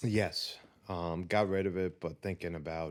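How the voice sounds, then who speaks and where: A man speaks at a moderate pace with a very deep, low pitch and fairly even intonation. The recording is very clean, with a silent background. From southern Italy, then New York (Queens, Long Island) from age 10. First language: Italian. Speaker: entrepreneur. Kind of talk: interview. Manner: frequent um fillers, hesitant.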